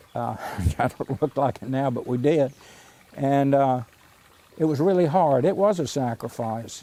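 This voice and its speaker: Noticeable background noise surrounds a man speaking with a Mississippi accent. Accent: Southern US (Mississippi). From US South, Mississippi. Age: 80s+. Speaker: artist. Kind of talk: documentary interview. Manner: halting.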